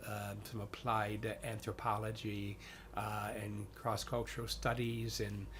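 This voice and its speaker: A man's very slow, fairly low voice in an American accent, with vocal fry, monotone, flat intonation and audible room echo. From US, western New York (Niagara Falls). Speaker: chaplain and priest. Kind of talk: interview. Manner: halting, many fillers.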